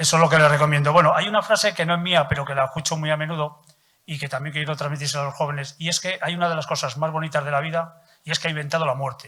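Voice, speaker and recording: A man with a fairly high voice talks very fast with fairly even intonation. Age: 70s. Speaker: audience member. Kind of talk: audience comment.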